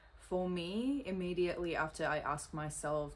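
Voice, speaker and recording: Room echo can be heard around the voice. The speaker is a woman. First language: not English. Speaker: social media creator. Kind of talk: reading aloud.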